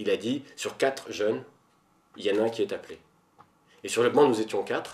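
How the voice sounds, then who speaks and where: A man is talking. He keeps a moderate pace. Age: 30s. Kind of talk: interview testimony. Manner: hesitant, many fillers.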